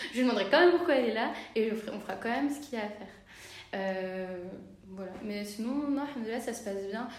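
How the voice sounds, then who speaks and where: A woman's fairly high voice at a fairly quick pace, with noticeable background noise and audible room echo. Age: 20s. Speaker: midwife. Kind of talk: interview. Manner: halting.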